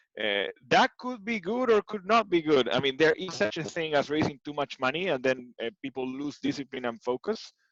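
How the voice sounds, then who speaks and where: A man talks at a fairly quick pace and fairly high pitch with very wide pitch swings, in a dry, close sound with no echo. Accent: Argentine. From Argentina, Buenos Aires. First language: Spanish. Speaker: tech executive. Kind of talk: interview. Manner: hesitant, many fillers.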